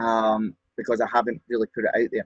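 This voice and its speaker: A man's voice is somewhat breathy at a moderate pace. The sound is dry and close, with no echo. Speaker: radio presenter and event host. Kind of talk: interview answer. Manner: flamboyant, bubbly.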